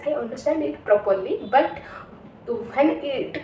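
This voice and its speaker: With an Odisha accent, a woman speaks at a high pitch. Audible room echo and noticeable background noise are present. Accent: Indian (Odia) English. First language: Odia. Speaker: English learner vlogger. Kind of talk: personal story. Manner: halting, many fillers and restarts.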